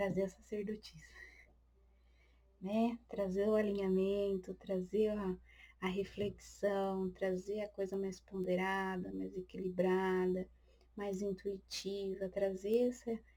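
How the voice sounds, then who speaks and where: Very slowly, a woman speaks in a flat, monotone way, her medium-pitched voice dark and mellow in tone. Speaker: tarot reader. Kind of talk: tarot reading. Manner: occasional stammering.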